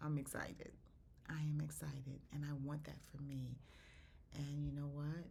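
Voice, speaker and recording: With audible room echo, a woman speaks at a moderate pace in a very deep, low, somewhat breathy voice with a dark, mellow tone, leaving long, frequent pauses. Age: 60s. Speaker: faith podcaster. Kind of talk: devotional talk. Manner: animated.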